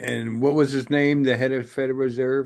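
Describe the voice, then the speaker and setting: The man's pitch sits at a medium level. His intonation is monotone and flat. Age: 70s. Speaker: news commentary podcaster. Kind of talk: casual chat. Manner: halting.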